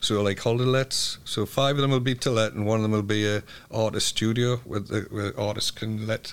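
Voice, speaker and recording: A man talks at a moderate pace with a medium pitch. The recording is very clean, with a silent background. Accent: Geordie. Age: 70s. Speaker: community group chair and cycling club leader. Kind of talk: interview.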